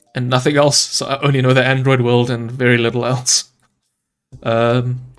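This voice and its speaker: Music plays in the background as a man speaks at a medium pitch. His intonation is monotone and flat. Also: moderate pace. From South Africa. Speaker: Android developer. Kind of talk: live-streamed code review. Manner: casual, hesitant with fillers.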